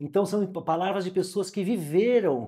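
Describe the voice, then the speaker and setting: The man's voice is high-pitched, with a dark, mellow tone. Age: 60s. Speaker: podcast host. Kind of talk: casual chat.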